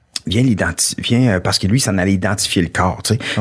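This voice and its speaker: Lively intonation marks this man's plain, everyday voice, which sits fairly low in pitch. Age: 40s. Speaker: comedian. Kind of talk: casual chat.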